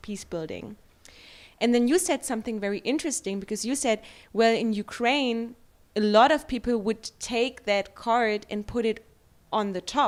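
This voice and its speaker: A woman with a German accent speaks at a moderate pace, her fairly high pitch moving with ordinary variation. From Germany. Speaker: editor and interviewer. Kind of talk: interview. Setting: livestream interview.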